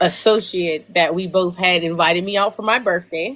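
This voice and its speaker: This is a normal speaking voice. Its intonation is fairly even. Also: woman. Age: 20s. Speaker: livestream host and performer. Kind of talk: casual chat. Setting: live stream.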